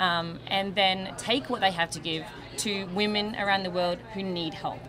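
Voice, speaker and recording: Music plays in the background and the room echo is audible as a woman speaks at a medium pitch with an Australian accent. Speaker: charity volunteer, hairdresser. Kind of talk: TV interview. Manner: hesitant, many fillers.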